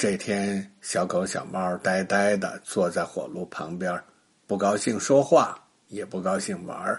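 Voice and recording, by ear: This man speaks low for a man at a fairly slow pace, with ordinary pitch variation, vocal fry and a husky, rough edge.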